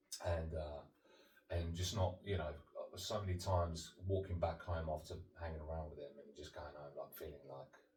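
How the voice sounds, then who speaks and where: A man with a very deep, low pitch, moderate pace and fairly even intonation, big swings in loudness, and audible room echo. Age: 30s. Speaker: sobriety coach. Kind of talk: interview about life story. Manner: halting, many fillers.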